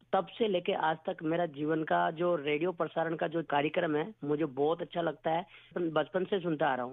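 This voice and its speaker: Fairly high-pitched male speech at a moderate pace, with fairly even intonation and hardly any pauses. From Rajasthan, village near Pushkar. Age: 40s. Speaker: wildlife conservationist, radio listener. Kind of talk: radio listener phone-in testimony. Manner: halting.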